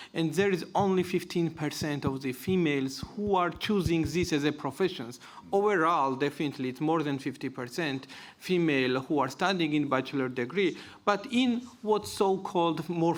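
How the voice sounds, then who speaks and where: This man speaks with a Georgian accent at a moderate pace. His pitch is fairly high, with ordinary variation. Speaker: panelist. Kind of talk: panel discussion.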